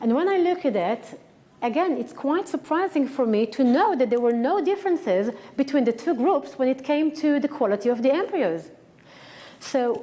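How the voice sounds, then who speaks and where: In a strong Israeli accent, a woman speaks at a moderate pace with a high pitch, an animated tone and very wide pitch swings. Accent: thick Israeli. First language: Hebrew. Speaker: acupuncturist and researcher. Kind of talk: lecture. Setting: conference stage with audience.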